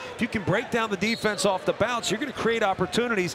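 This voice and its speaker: Noticeable noise fills the background. Over it, a man talks in a raised, projected voice. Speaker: color commentator. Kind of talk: live sports commentary, analyst-style. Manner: measured, conversational analysis.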